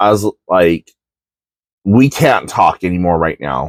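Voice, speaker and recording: A man speaks at a fairly slow pace in a fairly low pitch. His intonation is lively, and the sound is dry and close with no echo. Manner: gets very loud when angry.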